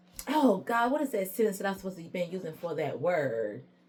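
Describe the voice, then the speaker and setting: Somewhat breathy, the voice moves at a very fast pace with very wide pitch swings. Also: woman. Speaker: tarot reader. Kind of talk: tarot reading. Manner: casual, conversational; halting at times.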